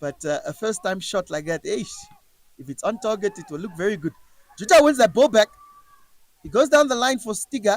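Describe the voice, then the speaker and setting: With a high pitch and very wide pitch swings, a man speaks in an animated tone. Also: dry, close sound with no echo. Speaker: football commentator. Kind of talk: live commentary. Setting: stadium.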